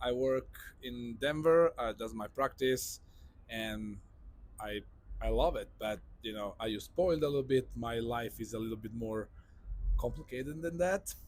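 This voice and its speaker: At a moderate pace and medium pitch, a man speaks with long, frequent pauses. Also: ordinary pitch variation. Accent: Italian. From Italy (Sicily). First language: Italian. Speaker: neurosurgeon. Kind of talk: interview podcast.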